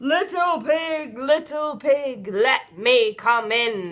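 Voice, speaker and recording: This is a put-on character voice pitched high. It moves at a very slow pace. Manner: growling, menacing.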